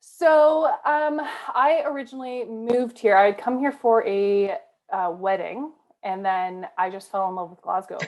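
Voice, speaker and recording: Someone with a Canadian accent talks at a fairly slow pace in an ordinary speaking voice. The intonation is lively. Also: woman, fairly high pitch for a woman. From Canada. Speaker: rugby player. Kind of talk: casual interview chat. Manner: chatty, many fillers.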